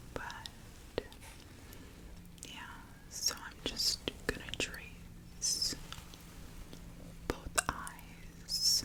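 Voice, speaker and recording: Whispering at a very slow pace with long, frequent pauses, the voice comes through over noticeable background noise. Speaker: ASMR creator. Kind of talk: guided breathwork. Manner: whispered, soft-spoken.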